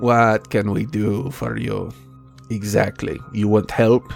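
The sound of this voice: A put-on character voice from a man, fairly low and rumbling, at a fairly slow pace with clear music in the background.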